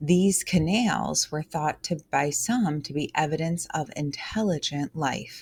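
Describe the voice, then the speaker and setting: The voice carries vocal fry. There are hardly any pauses. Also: woman, very deep, low pitch for a woman, ordinary pitch variation, fairly slow pace. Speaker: test prep tutor. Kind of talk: tutorial. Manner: casual, animated.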